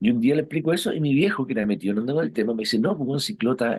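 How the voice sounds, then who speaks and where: The pitch swings very widely. Delivery is at a fairly quick pace in a Chilean accent. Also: man. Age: 60s. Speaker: rock musician. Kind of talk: interview. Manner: casual, hesitant with fillers.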